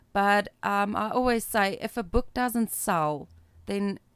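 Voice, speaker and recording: A woman with a South African accent speaks at a fairly slow pace. Her medium pitch carries lively intonation. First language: Afrikaans. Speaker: author and publisher. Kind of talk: casual chat.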